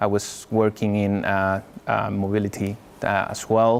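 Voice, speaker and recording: Fairly slow and with fairly even intonation, the voice comes in a Spanish accent. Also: man. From Spain. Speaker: software architect. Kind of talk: tech talk with Q&A.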